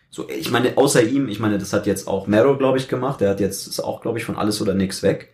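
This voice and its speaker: A man speaks at a very fast pace, somewhat breathy, with ordinary pitch variation. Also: hardly any pauses. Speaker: youtuber. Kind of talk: casual chat. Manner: steady pitch.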